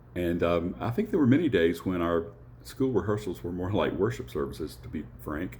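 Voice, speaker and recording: In a Southern US accent, a man speaks fairly quickly with a very deep, low pitch, a dark, mellow tone, vocal fry and very wide pitch swings. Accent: Southern twang. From US South, Appalachian North Alabama. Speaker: church musician and choir director. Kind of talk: personal introduction talk. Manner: hesitant, many fillers.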